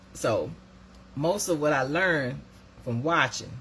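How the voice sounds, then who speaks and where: At a moderate pace, a woman speaks in a somewhat breathy voice with a very deep, low pitch. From US South, Decatur County, Georgia. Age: 50s. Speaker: live stream host. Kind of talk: casual chat. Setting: Facebook live stream.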